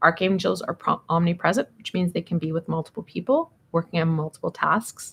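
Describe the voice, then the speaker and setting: A woman speaks at a moderate pace in a fairly low voice. Her voice is somewhat breathy. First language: not English. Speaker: tarot reader. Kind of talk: live tarot reading.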